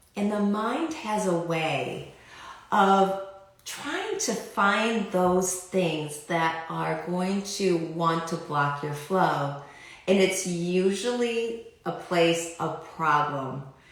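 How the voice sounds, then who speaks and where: A woman talks very slowly, with audible room echo and noticeable background noise in the recording. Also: medium pitch for a woman, ordinary pitch variation. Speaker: life coach / clearing facilitator. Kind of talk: live stream talk to viewers.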